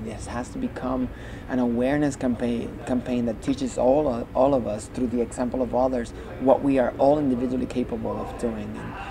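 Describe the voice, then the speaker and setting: A medium-pitched man at a moderate pace, with noticeable background noise. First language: Spanish. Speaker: Broadway performer and arts organization founder. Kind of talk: interview. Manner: halting, frequent repetitions.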